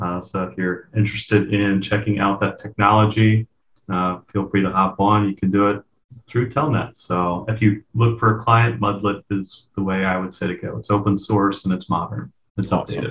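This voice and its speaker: This is a plain, everyday voice: a man with an American accent and a fairly low pitch. He speaks at a moderate pace. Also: fairly even intonation. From US, eastern shore of Virginia. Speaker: information security manager. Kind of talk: casual interview chat.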